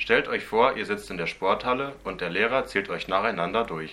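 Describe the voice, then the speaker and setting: A man with a bright, sharp tone and fairly low pitch talks at a moderate pace with lively intonation. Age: 20s. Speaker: student teacher podcast host. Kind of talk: scripted educational explainer.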